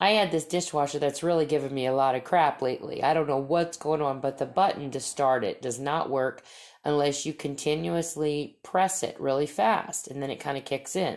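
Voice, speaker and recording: Delivered loudly at a moderate pace with ordinary pitch variation, the voice comes through on a very clean recording with a silent background. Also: woman, very deep, low pitch for a woman. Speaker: podcast host and storyteller. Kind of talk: casual monologue.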